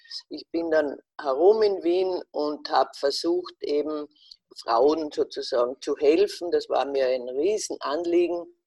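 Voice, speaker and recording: The sound is dry and close, without any echo. A woman talks very slowly. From Austria, Carinthia (Wolfsberg). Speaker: fashion journalist. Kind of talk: interview. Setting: video call.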